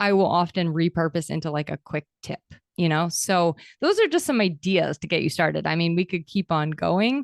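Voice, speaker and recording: A woman is heard in a dry, close sound with no echo against a quiet background. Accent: American. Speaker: podcast host and content coach. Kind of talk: interview. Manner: fast; high energy.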